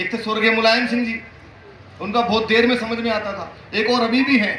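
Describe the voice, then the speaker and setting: There is noticeable background noise as a man talks at a moderate pace. His pitch is extremely high. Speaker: comic poet and mimicry artist. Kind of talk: live stand-up comedy on stage. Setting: live stage with audience. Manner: chatty, engaging the audience.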